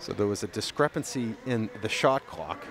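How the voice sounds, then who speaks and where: Over noticeable background noise, a man speaks with ordinary pitch variation. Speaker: play-by-play announcer. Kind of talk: live commentary. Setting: high school gym, live stream. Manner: loud; animated.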